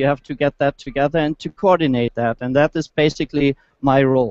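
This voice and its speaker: A man's fairly high-pitched voice with a German accent. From Germany. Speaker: automotive engineer, project manager. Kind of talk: product presentation. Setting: motor show, live online hangout. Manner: halting, many fillers.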